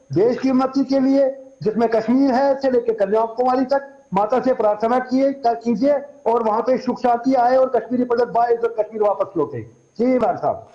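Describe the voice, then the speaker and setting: Extremely high in pitch, a man talks at a moderate pace with fairly even intonation and very even loudness. Noticeable background noise sits behind him. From Kashmir. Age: 60s. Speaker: Kashmiri Pandit community activist. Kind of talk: TV news interview. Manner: halting, with repeated false starts.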